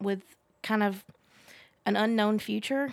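The woman's voice comes through on a very clean recording with a silent background. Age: 20s. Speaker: workforce development worker. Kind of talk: casual chat.

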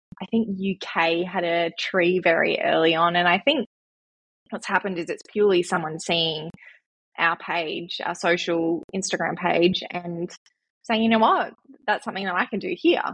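She speaks with an Australian accent. Her pitch is fairly low for a woman, and her intonation is fairly even. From Western Australia, central wheatbelt. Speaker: mental health charity founder. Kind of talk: casual interview.

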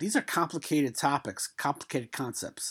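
Lively in intonation and fairly high in pitch, a man speaks in a New York accent in a very clean recording with a silent background. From New York City (Brooklyn). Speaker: retirement plan administrator and podcast host. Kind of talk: solo podcast monologue. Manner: casual, rambling with many fillers.

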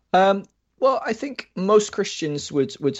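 Moderate pace and ordinary pitch variation from a man with an American accent. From Scotland. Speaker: researcher and podcaster on deconstruction. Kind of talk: casual interview.

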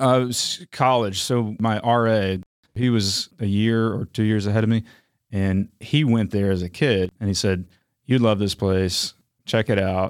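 A man with a plain, everyday voice and an American accent speaks fairly slowly at a fairly low pitch, his intonation fairly even and his loudness very even, on a very clean, silent recording with a dry, close sound and no echo. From North Carolina, Raleigh. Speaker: nature center CEO. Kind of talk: interview.

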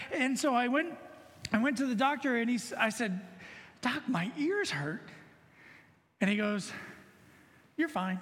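Amid audible room echo, a man with extremely high pitch talks at a fairly slow pace with lively intonation and long, frequent pauses. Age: 40s. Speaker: lay preacher, banker. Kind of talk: sermon.

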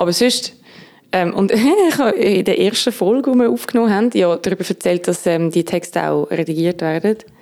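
An ordinary speaking voice from a woman, medium in pitch, fairly quick, with lively intonation and very even loudness. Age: 20s. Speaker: music critic. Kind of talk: casual chat.

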